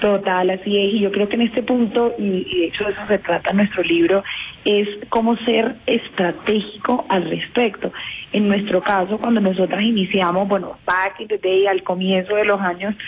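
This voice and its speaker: Speaking in a Caribbean Colombian accent, a woman keeps a moderate pace and a medium pitch with fairly even intonation. Noticeable background noise can be heard. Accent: Colombian Caribbean (costeño). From Colombian Caribbean coast, Cartagena. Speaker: entrepreneur and author. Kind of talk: radio interview.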